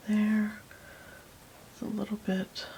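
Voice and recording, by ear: A soft-spoken woman with a dark, mellow tone and medium pitch talks at a slow pace in a monotone, flat intonation with vocal fry.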